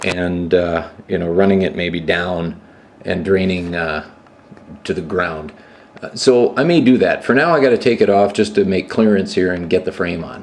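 A man speaks at a very deep, low pitch with ordinary pitch variation. Light background noise sits behind him. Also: moderate pace. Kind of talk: tutorial. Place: garage.

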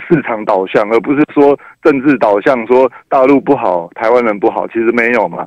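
Here a man speaks with a Taiwanese accent at a moderate pace and ordinary pitch variation. The sound is dry with no echo against a quiet background. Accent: Taiwanese Mandarin. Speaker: radio caller. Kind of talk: call-in discussion. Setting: phone call. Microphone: phone line.

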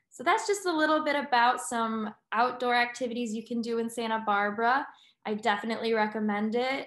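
A woman at a fairly quick pace, audible room echo, quiet background. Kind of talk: informal presentation to prospective students. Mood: friendly, upbeat. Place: home room. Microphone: webcam.

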